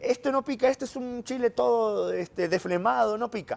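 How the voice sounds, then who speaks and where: The sound is dry and close, with no echo at all. In it, a man talks. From Argentina. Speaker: journalist, Vatican correspondent. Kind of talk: casual interview over a meal.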